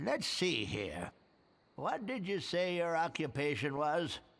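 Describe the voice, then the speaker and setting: Put-on character voice from a man, fairly high pitch, lively intonation, fairly slow pace. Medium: video game. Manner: gruff, sarcastic.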